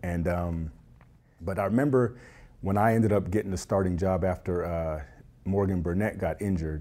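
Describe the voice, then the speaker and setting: A man speaks at a moderate pace with a very deep, low pitch and a dark, mellow tone. His pitch variation is ordinary, and the recording is very clean with a silent background. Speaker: former pro football player. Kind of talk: interview. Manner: hesitant, many fillers.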